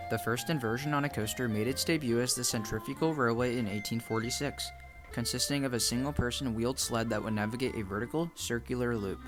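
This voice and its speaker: Over music in the background, a man at a medium pitch talks fairly quickly with ordinary pitch variation. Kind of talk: documentary narration.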